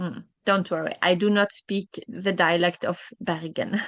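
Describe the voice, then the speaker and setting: A woman speaks fairly slowly with a Norwegian accent. The sound is dry and close, with no echo. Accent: Norwegian-accented English, uvular R. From southern Norway, Kristiansand. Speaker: language teacher. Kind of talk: online language class. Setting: live video class. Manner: halting, many fillers.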